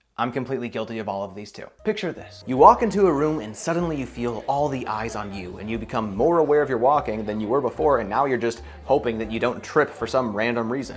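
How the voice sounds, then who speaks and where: Lively in intonation and very fast in pace, a man with a medium pitch speaks with big swings in loudness. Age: 20s. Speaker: self-improvement youtuber. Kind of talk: casual vlog monologue.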